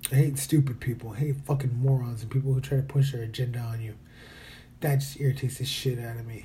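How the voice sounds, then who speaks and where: Speaking at a very fast pace, a man uses a monotone, flat intonation at medium pitch, his tone dark and mellow and somewhat breathy. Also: big swings in loudness. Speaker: podcaster. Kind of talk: casual monologue. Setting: hotel room.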